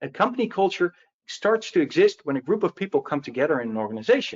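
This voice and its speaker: The speaker is a man with a Dutch accent. He talks at a very fast pace. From Netherlands. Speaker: security advocate. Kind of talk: webinar presentation. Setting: online webinar.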